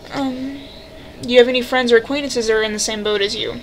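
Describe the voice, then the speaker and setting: Noticeable background noise runs behind a woman as she talks. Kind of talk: casual talk to camera. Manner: hesitant, stuttering.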